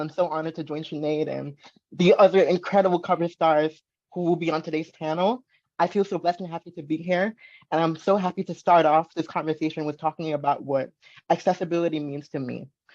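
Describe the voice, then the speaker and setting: A woman talks at a fairly quick pace in an ordinary speaking voice with fairly even intonation. The background is quiet. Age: 20s. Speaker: model. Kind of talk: panel discussion.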